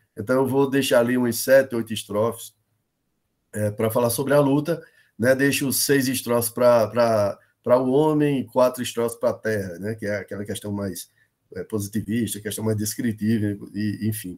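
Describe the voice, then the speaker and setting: A man's medium-pitched voice, its intonation fairly even. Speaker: professor teaching a workshop. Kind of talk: online workshop lecture. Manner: fast.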